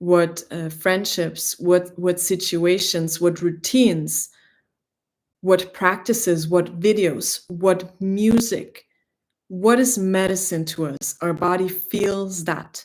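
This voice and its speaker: Speaking very slowly, a woman with a German accent keeps a medium pitch and fairly even intonation. The recording is very clean, with a silent background. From Greece. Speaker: spiritual teacher. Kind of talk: spiritual livestream talk. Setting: livestream.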